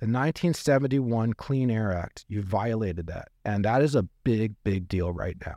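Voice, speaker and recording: This man has an ordinary speaking voice, fairly low in pitch, moving at a moderate pace with lively intonation. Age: 40s. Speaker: turbocharging business founder. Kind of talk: casual interview.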